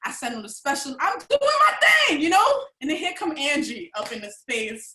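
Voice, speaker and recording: At a moderate pace, a woman uses a raised, projected voice with a high pitch, very wide pitch swings, big swings in loudness, and an animated tone. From New York City, the Bronx. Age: 40s. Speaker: vendor, holistic product maker. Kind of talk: personal testimony at a live online event. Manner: animated, expressive storytelling.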